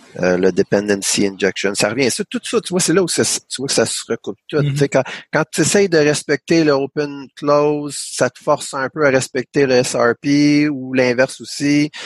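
A man with a plain, everyday voice speaks at a moderate pace and a fairly high pitch, his lively intonation flowing with hardly any pauses in a dry, close sound with no echo. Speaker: podcast host, programmer. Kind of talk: casual technical discussion.

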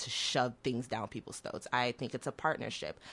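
Bright, sharp-toned female voice. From Oklahoma, US (born in Nigeria, moved at six). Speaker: city government staffer. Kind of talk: radio interview. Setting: radio studio.

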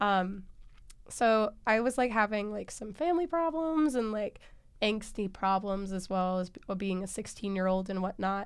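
Here is a woman with an ordinary speaking voice at medium pitch. She speaks at a moderate pace with lively intonation. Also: very clean recording, silent background. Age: young. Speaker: student storyteller. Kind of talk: interview storytelling.

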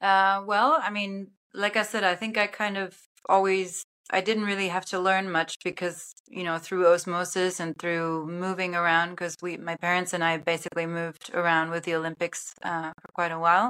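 Speaking in a German accent at a moderate pace, a woman has a bright, sharp tone, a fairly low pitch and monotone, flat intonation. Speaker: film and sports broadcast producer. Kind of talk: casual interview chat. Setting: video call. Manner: hesitant, with repeated words and fillers.

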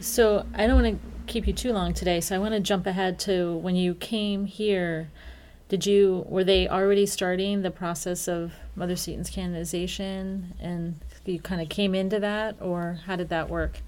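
A woman talks at a moderate pace with a medium pitch. Her intonation is monotone and flat. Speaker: podcast interviewer. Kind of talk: interview.

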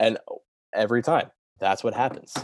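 The sound of this man's voice is dry and close with no echo, over a quiet background. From US Mid-Atlantic, Delaware. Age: 20s. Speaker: podcast intern, amateur golfer. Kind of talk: casual interview chat.

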